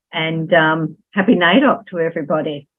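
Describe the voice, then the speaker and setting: Fairly slow speech from a woman in an Australian accent. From Australia, Melbourne. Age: 60s. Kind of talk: podcast interview. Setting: remote call from home.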